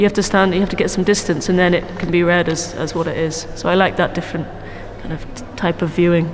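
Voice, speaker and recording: Amid noticeable background noise and audible room echo, a woman with fairly low pitch speaks at a very fast pace in a monotone, flat intonation. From South Wales. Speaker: painter. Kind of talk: guided gallery tour conversation. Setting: gallery space.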